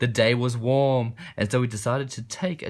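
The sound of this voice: The clip features an unforced reading voice with fairly even intonation.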